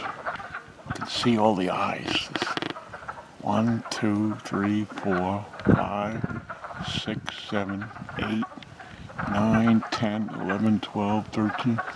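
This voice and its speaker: A man with an American accent, long and frequent pauses, and noticeable background noise. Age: 60s. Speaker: video blogger. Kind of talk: casual vlog. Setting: mountain cabin and outdoors.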